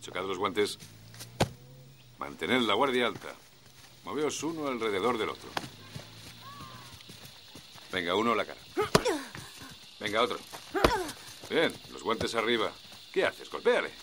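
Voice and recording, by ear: A man uses a put-on character voice with fairly low pitch and a bright, sharp tone. He talks at a slow pace with big pitch swings and long, frequent pauses over faint background noise.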